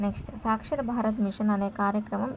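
A woman speaks fast with vocal fry and a slightly mellow tone. Her intonation is fairly even.

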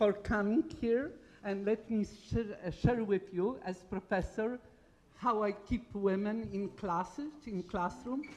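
With a Polish accent, a woman speaks very slowly at a medium pitch, using ordinary pitch variation. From Poland. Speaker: engineering professor. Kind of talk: conference talk. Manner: animated.

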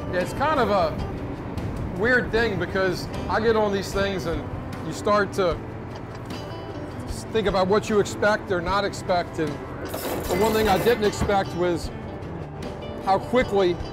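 A man speaks at a fairly slow pace, with long, frequent pauses. Music plays behind him. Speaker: outdoor TV show host. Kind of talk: casual show commentary. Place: boat.

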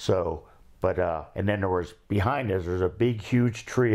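With an Ohio accent, a man speaks in a very deep, low voice. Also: quiet background. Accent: Midwestern American (Ohio). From Cincinnati, Ohio. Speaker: war veteran. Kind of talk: oral history interview. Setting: recorded interview with cameraman. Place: home room. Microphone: lapel.

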